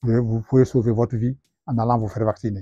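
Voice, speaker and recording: A man speaks at a moderate pace with a dark, mellow tone and fairly even intonation. The sound is dry and close with no echo, over a quiet background. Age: 70s. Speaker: retired rural engineer. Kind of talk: testimony. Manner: halting, hesitant.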